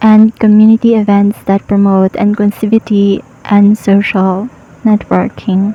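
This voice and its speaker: A soft-spoken woman talks in a calm tone at a fairly slow pace, her medium-pitched, somewhat breathy voice dark and mellow, with monotone, flat intonation. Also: dry, close sound with no echo. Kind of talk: soft-spoken motivational podcast narration. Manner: sleepy, calm.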